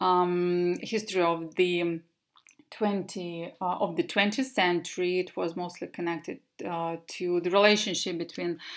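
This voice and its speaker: At a fairly slow pace, a woman with a Russian accent speaks at a fairly low pitch with ordinary pitch variation, on a very clean recording with a silent background. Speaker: English teacher. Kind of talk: presentation. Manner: halting.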